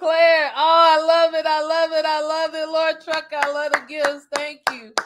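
A woman's high voice, fairly bright in tone, at a moderate pace with monotone, flat intonation

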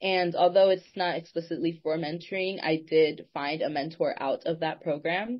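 A woman in an American accent speaks with a fairly low pitch and fairly even intonation. She has an ordinary speaking voice and keeps a moderate pace. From North Carolina, Durham. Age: young. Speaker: university student and youth advocate. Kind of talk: interview.

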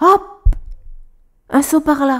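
A woman is speaking. Her tone comes across as playful and warm. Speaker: storyteller. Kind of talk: bedtime story reading aloud to a child. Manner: warm, gentle storyteller, animated with sound effects; playful, expressive, voices characters.

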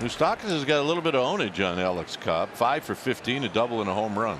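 Through noticeable background noise, a man's voice moves in very wide pitch swings. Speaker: baseball broadcaster. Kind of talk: rapid-fire live play-by-play of a baseball hit. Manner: excitable, escalating energy as the run scores.

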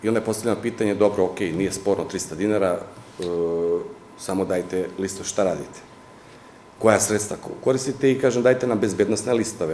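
A man at a very fast pace and a fairly low pitch, ordinary in pitch variation, with light background noise and audible room echo. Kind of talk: interview answer. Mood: critical, explaining. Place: office.

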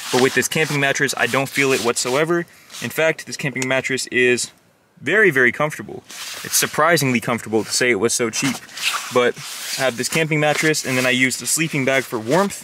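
With ordinary pitch variation, a man talks at a fairly quick pace over noticeable background noise, the sound dry with no echo. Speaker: car-living vlogger. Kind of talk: casual vlog chat. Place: car. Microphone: phone near.

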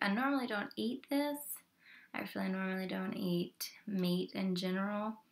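A soft-spoken woman talks at a moderate pace with ordinary pitch variation. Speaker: mukbang video creator. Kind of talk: casual talk to camera while eating. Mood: friendly and chatty. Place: home room. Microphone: webcam.

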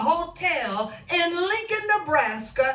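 Audible room echo follows a woman who speaks at a very slow pace. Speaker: minister. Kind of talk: sermon. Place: home room.

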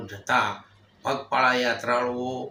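There is audible room echo around a man talking at medium pitch. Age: old. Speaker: religious leader. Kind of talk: public appeal speech. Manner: halting.

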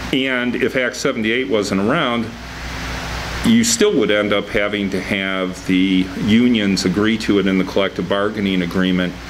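The speech moves at a fairly slow pace. Background noise is noticeable. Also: man, fairly even intonation. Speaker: city attorney. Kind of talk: city council meeting. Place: meeting room. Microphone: podium.

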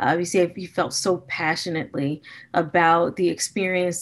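A woman with an American accent, an ordinary speaking voice, fairly low in pitch, at a moderate pace. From US Midwest, Gary, Indiana; Indiana. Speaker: business school professor. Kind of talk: keynote lecture. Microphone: webcam.

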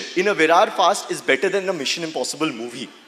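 Lively intonation from a man with a fairly bright tone

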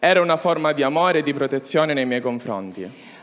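This man's voice sits fairly high. Its pitch variation is ordinary. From Sicily, Catania; Sicily. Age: 20s. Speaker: young pilgrim giving testimony; speaker. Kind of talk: testimony. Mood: earnest, reflective. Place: stage. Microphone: handheld.

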